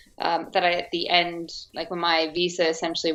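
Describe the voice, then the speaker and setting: A woman is speaking with an American accent. Her pitch is fairly low. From US, Arizona. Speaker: actress. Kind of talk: interview.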